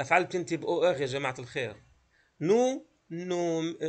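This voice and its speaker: A man with a fairly high pitch uses lively intonation in an ordinary speaking voice. The background is quiet. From Palestine, Gaza; Palestine. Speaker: French teacher. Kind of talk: lecture. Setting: video call. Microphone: video call.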